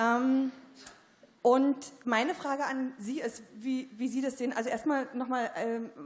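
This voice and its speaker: A woman speaks with a Berlin accent. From East Berlin. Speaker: journalist, audience member. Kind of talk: audience question at panel discussion. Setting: theatre stage with audience. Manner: hesitant, many fillers.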